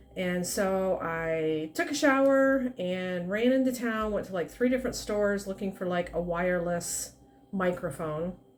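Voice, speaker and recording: A soft-spoken woman at a fairly slow pace, her pitch in the medium range. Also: lively intonation. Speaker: plant hobbyist vlogger. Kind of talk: casual plant update vlog. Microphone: quiet recording, no external mic.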